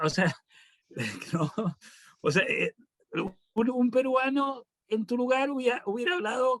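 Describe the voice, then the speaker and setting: Speaking at an extremely high pitch with lively intonation, a man goes at a fairly slow pace with long, frequent pauses, in a dry, close sound with no echo. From Argentina, Buenos Aires. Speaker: professor. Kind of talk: panel discussion.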